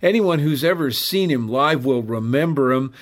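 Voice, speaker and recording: Fairly high in pitch, a man speaks in an unremarkable speaking voice with ordinary pitch variation. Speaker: radio host. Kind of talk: scripted radio segment.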